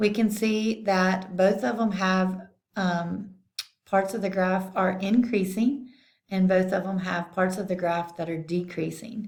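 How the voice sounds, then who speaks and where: Somewhat breathy and medium in pitch, a woman speaks at a fairly slow pace with fairly even intonation and audible room echo. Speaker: math teacher. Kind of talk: tutorial.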